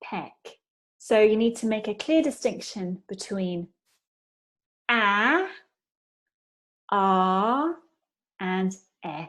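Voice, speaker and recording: Very slowly, a woman with a British accent speaks at a fairly high pitch with lively intonation. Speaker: pronunciation teacher. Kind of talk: pronunciation lesson.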